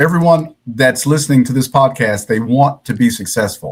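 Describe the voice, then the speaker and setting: A man talks in an ordinary speaking voice with an American accent. His pace is moderate and his pitch variation ordinary. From US Midwest, Cincinnati, Ohio. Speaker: podcast host. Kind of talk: interview.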